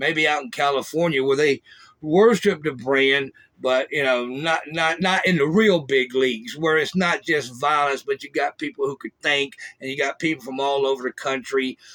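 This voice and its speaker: With a Southern US accent, a man talks at a moderate pace in a fairly high pitch, using a bright, sharp tone and ordinary pitch variation. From US South. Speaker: former prisoner, podcast host. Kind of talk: casual monologue. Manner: casual, halting with fillers.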